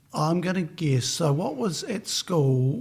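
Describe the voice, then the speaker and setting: Lively intonation set against noticeable background noise. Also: man. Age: 60s. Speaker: podcast host. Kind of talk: interview.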